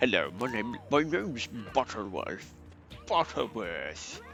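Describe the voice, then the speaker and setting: Over background music, a man does a put-on character voice at a medium pitch with lively intonation. He mumbles at a fairly slow pace. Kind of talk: stuffy, upper-class. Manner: mumbling, as if mouth full of cotton wool.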